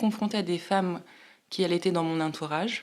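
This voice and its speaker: Medium pitch from a woman, with ordinary variation in it. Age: 40s. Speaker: podcast guest, mother sharing breastfeeding experience. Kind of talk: interview testimony. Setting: podcast microphone. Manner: hesitant, many fillers.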